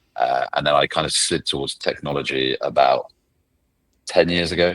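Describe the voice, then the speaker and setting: With a British accent, a man speaks at a fairly quick pace. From England. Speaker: legal tech professional, ex-lawyer. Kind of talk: casual podcast interview.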